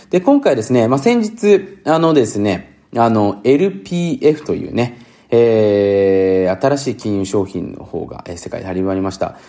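A man's dark, mellow voice at a medium pitch and fairly slow pace, with very wide pitch swings, big swings in loudness and hardly any pauses. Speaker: podcast host, finance and business talk. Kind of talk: solo podcast monologue. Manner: casual, many filler words.

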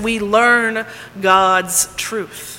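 With noticeable background noise behind her, a woman in an American accent speaks at a fairly high pitch with monotone, flat intonation. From Texas. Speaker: pastor. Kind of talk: sermon.

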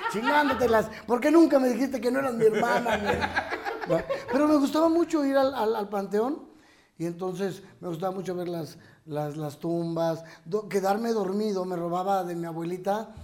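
A man's high voice at a moderate pace, with very wide pitch swings and noticeable background noise. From Chihuahua, northern Mexico. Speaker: comedian. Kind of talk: casual chat.

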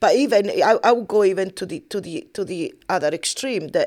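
At a moderate pace, a woman speaks with an Italian accent in a medium pitch. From Italy. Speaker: podcast co-host, massage therapist. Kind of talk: casual chat.

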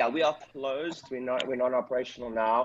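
The speaker has a South African accent. The pace is fairly quick. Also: man. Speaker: chiropractic business coach and clinic owner. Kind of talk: coaching call talk. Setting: video call. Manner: fast talker; energetic.

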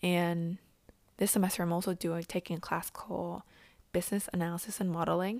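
Speaking in a flat monotone at a moderate pace, a woman with a fairly low pitch leaves long, frequent pauses in a very clean recording with a silent background. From Vietnam. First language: Vietnamese. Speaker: podcaster, university student and intern. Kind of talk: solo monologue podcast. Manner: hesitant, many ums.

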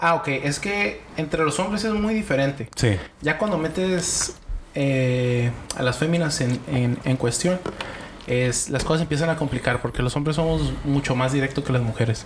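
Over noticeable background noise, a man with a Mexican accent talks with lively intonation and very even loudness. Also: fairly high pitch for a man, fairly slow pace. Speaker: podcast guest. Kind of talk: casual chat.

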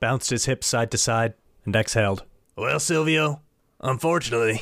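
The clip features plain reading aloud.

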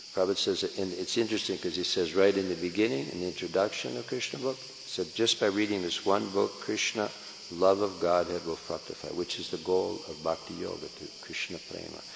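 Over noticeable background noise, a man with a very deep, low pitch and an American accent speaks at a fairly quick pace with hardly any pauses and ordinary pitch variation. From US West Coast, San Francisco. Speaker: Hare Krishna preacher. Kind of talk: lecture. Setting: temple hall with audience.

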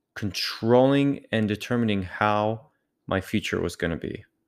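Fairly low-pitched male speech with a non-native accent, fairly even intonation and a fairly slow pace, on a very clean recording with a silent background. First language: not English. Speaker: motivational podcast host. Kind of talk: motivational monologue. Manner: halting, with self-corrections.

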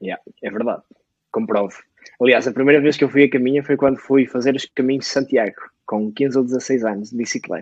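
In a plain, everyday voice, a man talks at a fairly quick pace with medium pitch and ordinary pitch variation, the sound dry and close with no echo. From northern Portugal, Lixa. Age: 20s. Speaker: podcast co-host, entrepreneur. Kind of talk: casual chat.

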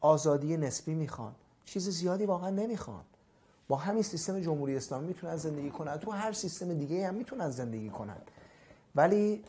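Using lively intonation, a man speaks at a fairly quick pace in a high pitch with a dark, mellow tone. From Iran, Khuzestan (Ahvaz, Abadan). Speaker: dentist. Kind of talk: interview. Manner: casual.

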